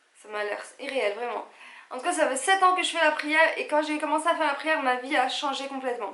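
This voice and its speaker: Bright and sharp, the voice moves at a moderate pace with an animated tone and ordinary pitch variation, and audible room echo surrounds it. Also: woman. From Algeria. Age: 30s. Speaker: vlogger. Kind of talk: casual vlog talk to camera.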